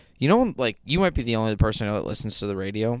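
A man with a fairly low pitch speaks at a very fast pace in a very clean recording with a silent background. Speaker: podcast co-host.

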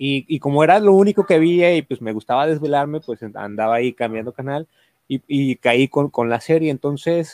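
Against a quiet background, a man with a normal speaking voice and a fairly high pitch talks with lively intonation in a dry, close sound with no echo. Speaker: stand-up comedian and workshop teacher. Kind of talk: casual chat.

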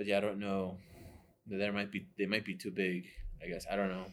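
In a monotone with flat intonation, a man speaks fairly quickly at a fairly low pitch. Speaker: podcast host and design organization founder. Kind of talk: casual chat.

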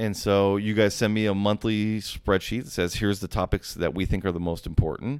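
On a very clean recording with a silent background, a man with a fairly low pitch and an unremarkable speaking voice talks at a fairly quick pace with ordinary pitch variation and hardly any pauses. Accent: American. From Las Vegas, Nevada. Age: 40s. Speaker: personal injury lawyer. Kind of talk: casual interview.

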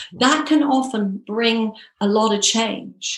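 Speaking with a British accent, a woman uses a fairly high pitch and ordinary pitch variation. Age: 50s. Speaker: hypnotherapist and personal success coach. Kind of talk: interview.

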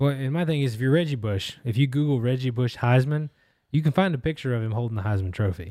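A man with a medium-pitched, dark, mellow voice speaks at a very fast pace. His pitch varies in an ordinary way on a very clean recording with a silent background. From Tennessee, near Memphis. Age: 30s. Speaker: podcast co-host and producer. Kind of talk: casual chat.

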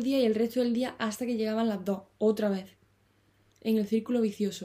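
Fairly quick in pace and somewhat breathy, the voice has a dark, mellow tone and fairly even intonation. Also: woman. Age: 20s. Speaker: podcaster and author. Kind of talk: solo monologue. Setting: parents' bedroom. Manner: halting with fillers.

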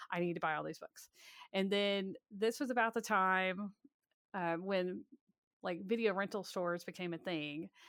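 A woman with an American accent speaks at a moderate pace, leaving long, frequent pauses. Her pitch sits in the middle of her range with ordinary variation, and the dry, close sound carries no echo over a very clean recording with a silent background. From US South, Alabama. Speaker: author and historian. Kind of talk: interview.

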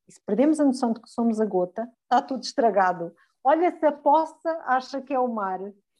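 With a dark, mellow tone, a woman speaks at a fairly quick pace, her high pitch carrying lively intonation and big swings in loudness. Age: 40s. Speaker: podcast co-host. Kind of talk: casual chat.

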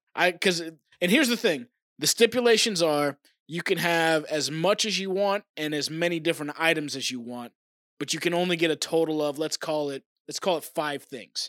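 A man with an American accent has an unremarkable speaking voice, fairly high in pitch with ordinary pitch variation. He talks at a moderate pace, in a dry, close sound with no echo. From Oklahoma. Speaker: podcast co-host. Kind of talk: casual chat. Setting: remote recording from home.

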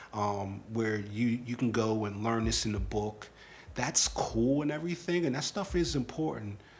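With a somewhat breathy voice, a man talks using lively intonation. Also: medium pitch for a man, moderate pace. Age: 30s. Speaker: podcast host. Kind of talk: casual chat.

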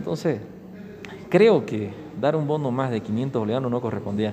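A man with a medium pitch speaks at a fairly quick pace with lively intonation. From Bolivia, Santa Cruz (San Ignacio de Velasco). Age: 40s. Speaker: politician. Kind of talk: interview.

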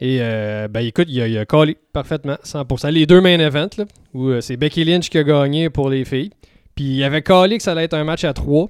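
Using an unremarkable speaking voice, a man talks at a moderate pace with fairly high pitch and ordinary pitch variation. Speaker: podcast co-host. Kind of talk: casual chat. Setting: studio.

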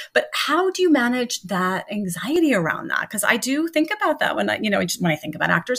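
Through noticeable background noise, a woman speaks at a very fast pace. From US Northeast, Long Island New York. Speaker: podcast host. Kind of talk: casual interview. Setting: remote recording.

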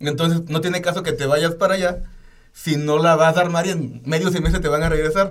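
Talking at a fairly quick pace, this man has a high pitch, a flat, monotone intonation and a Mexican accent. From Oaxaca, Mexico. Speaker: podcast co-host. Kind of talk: casual chat.

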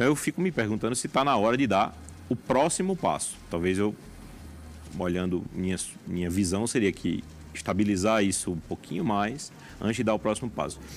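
A man with a fairly low pitch talks at a fairly quick pace with lively intonation, broken by long, frequent pauses. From Paraíba, Brazilian Northeast (João Pessoa). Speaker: oncologist and hospital director. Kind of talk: interview. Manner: halting, frequent repetitions.

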